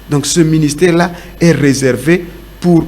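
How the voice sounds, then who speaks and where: A man at a fairly high pitch, at a fairly slow pace, with audible room echo and noticeable background noise. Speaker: pastor. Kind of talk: sermon.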